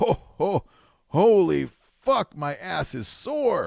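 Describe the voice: A man does a put-on character voice that is gruff and high-pitched. He speaks very slowly.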